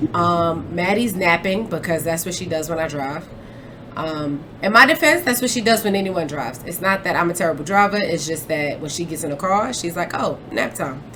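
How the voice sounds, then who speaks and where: Noticeable background noise accompanies a woman speaking at a moderate pace. Her fairly low voice shows ordinary pitch variation. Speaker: podcast host. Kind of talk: casual chat. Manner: mumbles sometimes; animated.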